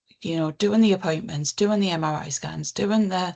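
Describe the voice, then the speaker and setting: A woman speaks with a northern English accent. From northern England. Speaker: counsellor and charity CEO. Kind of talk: interview.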